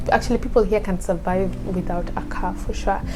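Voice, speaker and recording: A woman talking at a fairly quick pace, with audible room echo and noticeable background noise. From Kenya. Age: 20s. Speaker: student vlogger. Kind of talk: casual vlog talk. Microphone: new lapel mic, may crackle.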